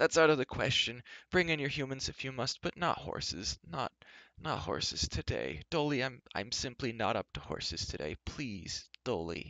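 A man uses a put-on character voice with a bright, sharp tone, vocal fry and big pitch swings, at a moderate pace in a dry, close sound with no echo. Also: medium pitch for a man.

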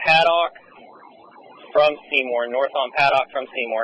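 The recording of this man is dry with no echo, and he talks at a moderate pace. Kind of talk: radio dispatch traffic. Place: car. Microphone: two way radio.

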